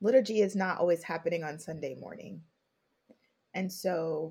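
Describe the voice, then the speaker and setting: In an American accent, a woman speaks at a moderate pace in a somewhat breathy voice. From Brooklyn, New York. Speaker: podcaster and faith leadership coach. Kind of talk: casual discussion.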